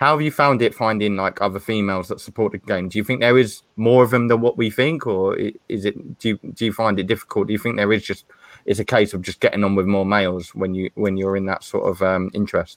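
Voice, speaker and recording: A man with a southern English accent talks very fast in a fairly low voice with fairly even intonation, the sound dry and close with no echo on a very clean recording over a silent background. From Stevenage, Hertfordshire, England. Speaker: football podcast host. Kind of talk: casual panel discussion.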